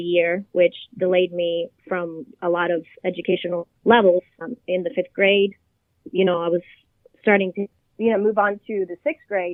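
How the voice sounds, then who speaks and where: This woman speaks with a Spanish accent. Her pitch is medium and her pace moderate. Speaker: childhood cancer survivor and hospital volunteer. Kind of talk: interview.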